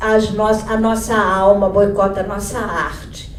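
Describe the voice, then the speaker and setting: A woman is heard over noticeable background noise, with audible room echo. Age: 60s. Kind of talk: panel talk. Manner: halting.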